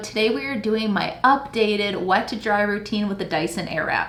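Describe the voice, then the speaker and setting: Over noticeable background noise and audible room echo, a woman talks at a fairly quick pace and fairly high pitch with ordinary pitch variation. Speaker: beauty YouTuber. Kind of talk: tutorial. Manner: casual and chatty.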